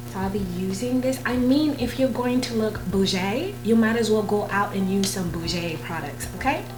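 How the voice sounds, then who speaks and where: Amid noticeable background noise and audible room echo, a woman at a medium pitch talks with hardly any pauses and very wide pitch swings. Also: moderate pace. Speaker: beauty vlogger. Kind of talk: makeup tutorial. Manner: casual, chatty.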